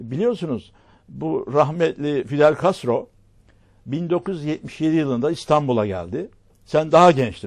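Speaking at a very slow pace against a quiet background, a man uses lively intonation at a fairly high pitch. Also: big swings in loudness. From Turkey, Marmaris. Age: 80s+. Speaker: local TV talk show host. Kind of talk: casual interview chat. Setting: studio.

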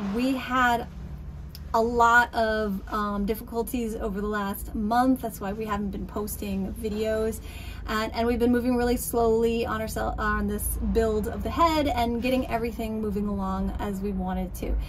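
Against light background noise, the woman keeps a moderate pace. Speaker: boat restorer vlogger. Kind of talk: casual vlog chat. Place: boat. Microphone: phone near.

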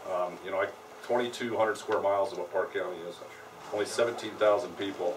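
A man with an American accent talks at a moderate pace in a fairly low pitch and fairly even intonation. Noticeable background noise and audible room echo are present. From Colorado. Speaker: county sheriff. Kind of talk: talk and Q&A at a public meeting.

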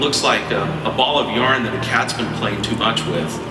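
A man speaks with audible room echo. Clear music plays in the background. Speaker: tech presenter; presenter. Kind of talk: product demo. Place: stage.

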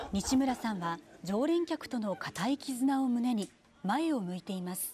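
A woman's fairly high voice has a dark, mellow tone. She talks at a fairly slow pace with very wide pitch swings. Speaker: news narrator. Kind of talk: TV news narration.

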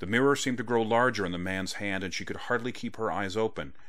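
Ordinary pitch variation in a passage read aloud with a natural voice

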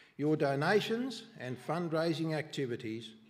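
A man with an Australian accent speaks in a somewhat breathy voice against a quiet background. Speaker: charity treasurer. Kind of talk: report. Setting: church. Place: church. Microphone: podium.

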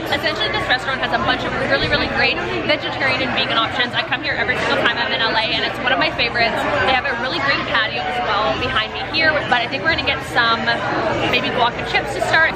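Crowd noise fills the background as a woman speaks. She talks very fast, with ordinary pitch variation. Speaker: food travel vlogger. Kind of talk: casual vlog chat. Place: cafe. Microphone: phone near.

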